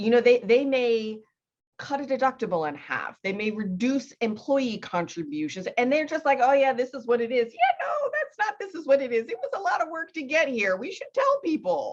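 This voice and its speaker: In a high pitch, a woman speaks with very wide pitch swings. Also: moderate pace. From US East Coast. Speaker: podcast host. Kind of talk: interview conversation.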